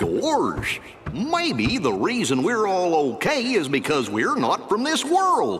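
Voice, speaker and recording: A man puts on a character voice and speaks at a fairly slow pace over light background noise. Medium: video game.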